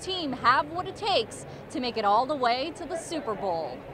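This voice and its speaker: A woman's voice at a moderate pace with very wide pitch swings, over noticeable background noise. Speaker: TV news reporter. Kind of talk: live TV news standup.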